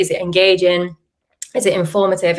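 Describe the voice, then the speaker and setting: A woman in a strong Yorkshire accent, with fairly even intonation. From Yorkshire, northern England. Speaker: SEO content marketer, webinar speaker. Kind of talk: presentation. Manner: fast.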